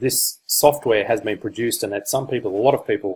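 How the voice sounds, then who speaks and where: At a moderate pace, a somewhat breathy man with an Australian accent speaks with ordinary pitch variation. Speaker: online marketer / crypto reviewer. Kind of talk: product review presentation. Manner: hesitant, many fillers.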